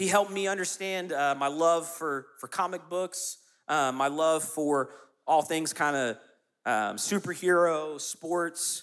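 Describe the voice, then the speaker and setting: A man with a Southern US accent talks at a fairly slow pace and fairly high pitch, with ordinary pitch variation. The recording is very clean, the background silent. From US South, South Carolina. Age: 30s. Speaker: youth pastor. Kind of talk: sermon.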